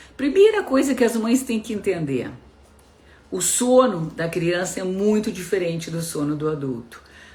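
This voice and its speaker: Noticeable background noise sits behind a woman speaking at a moderate pace. Her medium pitch swings very widely. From southern Brazil (Rio Grande do Sul). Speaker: pediatrician. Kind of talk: live-stream talk to parents. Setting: live stream.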